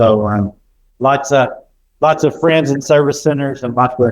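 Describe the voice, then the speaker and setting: At a moderate pace, a man speaks at medium pitch with an American accent. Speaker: education company representative. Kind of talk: conference talk. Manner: loud; animated.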